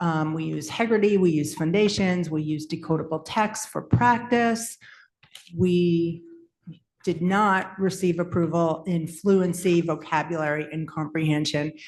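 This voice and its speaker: In a normal speaking voice, a woman talks at a fairly slow pace, fairly low in pitch with ordinary pitch variation. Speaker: school literacy administrator. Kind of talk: formal presentation.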